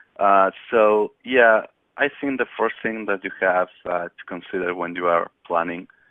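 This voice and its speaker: Speaking with a Spanish accent, a man uses a fairly low pitch, ordinary pitch variation and a fairly slow pace. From Spain. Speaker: technical expert, solutions engineer. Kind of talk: webinar presentation. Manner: hesitant, many fillers.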